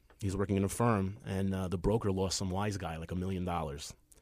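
Captured on a very clean recording with a silent background, a man with a New York accent has a very deep, low pitch and a dark, mellow tone. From New York, Queens. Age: 40s. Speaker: comedian and actor. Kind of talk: casual chat.

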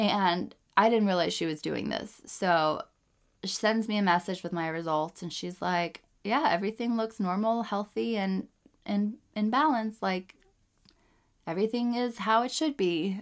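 On a very clean recording with a silent background, a woman with a plain, everyday voice speaks at medium pitch and a moderate pace, with ordinary pitch variation. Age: 30s. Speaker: podcast host, mother. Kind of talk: casual monologue. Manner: casual, filler-heavy speech; laughs often.

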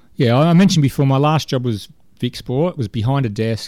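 With an Australian accent, a man speaks at a moderate pace in a dark, mellow tone, with ordinary pitch variation. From Melbourne's west, Australia. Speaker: sports director and coach. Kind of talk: interview.

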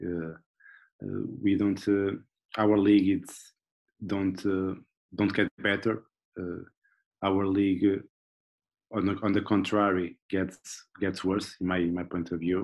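With a Portuguese accent, a man speaks at a fairly slow pace in a fairly low, monotone voice with flat intonation and long, frequent pauses. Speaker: football analyst. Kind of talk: casual interview. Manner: halting, repeating words.

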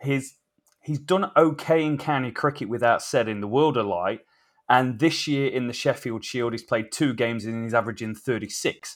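A speaker with an English accent talks at a moderate pace with ordinary pitch variation. The recording is very clean, with a silent background. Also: man, medium pitch for a man. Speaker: cricket podcast co-host. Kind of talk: casual chat.

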